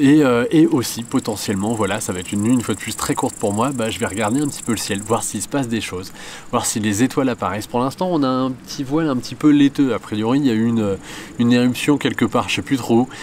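A man speaks at a very fast pace over light background noise. The sound is dry, with no echo. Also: ordinary pitch variation. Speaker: photographer vlogger. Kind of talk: casual vlog chat. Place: open country.

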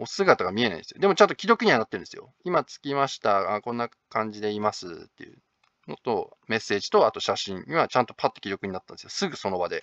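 The speech runs at a very fast pace with big swings in loudness. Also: man. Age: 30s. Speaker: manga artist and video blogger. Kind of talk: casual monologue vlog. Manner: casual, hesitant with many fillers.

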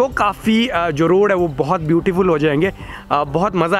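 Over faint background music, a man talks in a high voice with fairly even intonation. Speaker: motorcycle travel vlogger. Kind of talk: casual vlog chat. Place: street. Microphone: phone near.

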